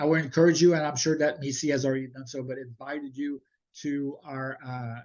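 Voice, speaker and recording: In a Montreal accent, a man speaks at a medium pitch with monotone, flat intonation. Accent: Montreal French-Canadian. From Quebec, Montreal. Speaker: webinar presenter, higher education administrator. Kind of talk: webinar presentation. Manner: halting with many fillers.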